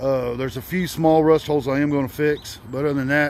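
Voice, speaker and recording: Over noticeable background noise, a man mumbles at a moderate pace in a fairly high pitch. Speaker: car hobbyist vlogger. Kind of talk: casual vlog monologue. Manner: hesitant, many fillers; mumbling.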